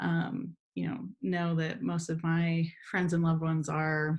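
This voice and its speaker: Speaking at a very slow pace, a woman with an American accent has a fairly low pitch. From Southern California, Imperial Valley. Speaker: professor and researcher. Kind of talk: interview conversation. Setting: remote call from home.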